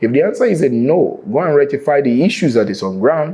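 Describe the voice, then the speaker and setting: A man with a Nigerian accent speaks very fast in a dark, mellow tone with lively intonation. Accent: Nigerian (Yoruba) English. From Nigeria, Lagos. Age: 40s. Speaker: real estate entrepreneur. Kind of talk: interview.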